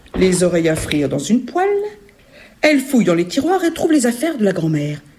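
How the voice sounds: Natural voice, read aloud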